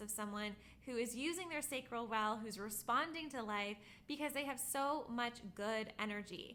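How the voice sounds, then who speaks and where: Noticeable background noise sits behind a woman's fairly high voice. Her pitch shows ordinary variation. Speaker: spiritual teacher, human design educator. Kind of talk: tutorial. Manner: fast.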